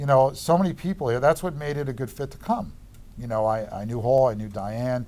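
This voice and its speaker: A man with a strong Long Island accent, medium pitch, a dark, mellow tone, lively intonation and a fairly quick pace. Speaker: real estate economist. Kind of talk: interview. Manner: sounds combative.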